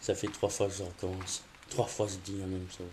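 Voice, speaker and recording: At a moderate pace, a man talks in a somewhat breathy voice with a dark, mellow tone. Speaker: gaming youtuber. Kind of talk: gameplay commentary. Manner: hesitant, many fillers.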